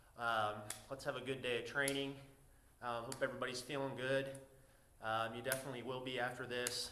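Over light background noise and audible room echo, a man speaks in a monotone, flat intonation. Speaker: fitness trainer. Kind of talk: workout tutorial intro. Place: gym. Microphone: camera far.

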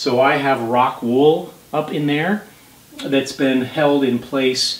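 A man's intonation stays fairly even while audible room echo fills the space. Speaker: home renovation vlogger. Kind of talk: tutorial. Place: home room. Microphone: camera far.

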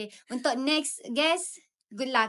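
Against a quiet background, a woman with a bright, sharp tone talks at a fairly slow pace with ordinary pitch variation. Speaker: university student ambassador; podcast guest. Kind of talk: casual chat. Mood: cheerful, relaxed. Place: studio. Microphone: studio mic.

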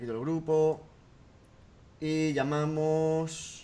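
This is a man speaking. His pitch is fairly high. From Spain. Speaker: gaming youtuber; gaming youtuber hosting a radio-style segment. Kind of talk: comedic call-in show. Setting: Skype call. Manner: animated.

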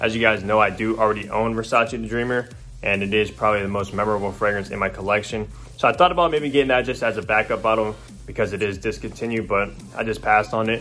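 Faint music plays in the background as a man with a fairly low pitch speaks at a very fast pace with ordinary pitch variation. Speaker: fragrance vlogger. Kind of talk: casual vlog chat. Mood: pleased, upbeat. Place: home room. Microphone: phone near.

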